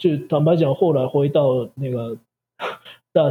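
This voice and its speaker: Here a man speaks at a fairly slow pace with a dark, mellow, somewhat breathy tone. His pitch variation is ordinary. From Japan. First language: Japanese (speaking Chinese). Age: 40s. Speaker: Japanese language teacher. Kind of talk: interview. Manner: halting.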